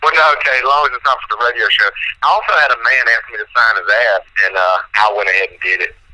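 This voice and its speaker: Against noticeable background noise, a man with a Southern US accent speaks at a very fast pace, his loudness swinging widely. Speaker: country rap musician. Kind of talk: radio interview.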